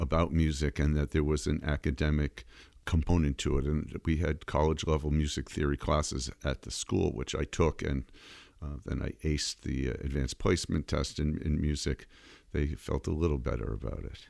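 A man's very deep, low voice with vocal fry and an American accent, at a moderate pace, on a very clean recording with a silent background. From Massachusetts, Framingham. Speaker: rabbi and jazz musician. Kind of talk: interview conversation.

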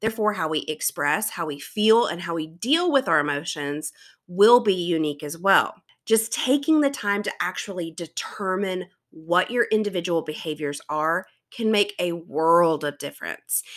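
With a South Carolina accent, a woman speaks at a fairly low pitch with lively intonation. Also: moderate pace. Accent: Southern US (South Carolina), fairly mild. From US South, South Carolina. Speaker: teacher and podcast host. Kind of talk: solo podcast monologue.

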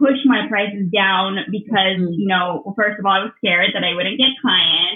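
With ordinary pitch variation, this woman talks at a moderate pace. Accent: American. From US West, Southern California. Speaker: entrepreneur and community builder. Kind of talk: interview conversation.

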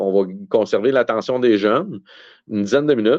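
Medium pitch, ordinary pitch variation and a moderate pace from a man with a plain, everyday voice. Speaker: card show organizer. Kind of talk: casual chat.

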